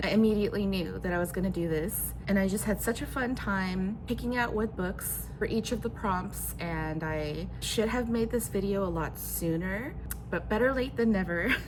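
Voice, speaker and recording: Audible room echo around a woman speaking at a moderate pace. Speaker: booktuber. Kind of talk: casual vlog talk. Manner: conversational with fillers and restarts.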